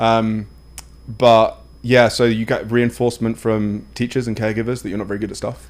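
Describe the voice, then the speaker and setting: Monotone and flat, a man's medium-pitched voice comes through with an English accent. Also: moderate pace. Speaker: wellness coach. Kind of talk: casual podcast conversation. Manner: talkative, many fillers and restarts.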